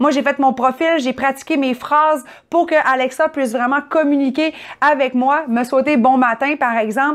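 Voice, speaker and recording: A woman with a strong Saguenay Quebec accent, high-pitched, at a moderate pace, with fairly even intonation and very even loudness. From Quebec, Saguenay region. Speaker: tech reviewer. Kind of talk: product review. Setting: at home.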